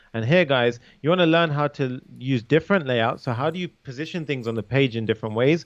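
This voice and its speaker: This man has a British accent. He talks at a fairly quick clip. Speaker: coding instructor. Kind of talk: tutorial. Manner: casual, conversational.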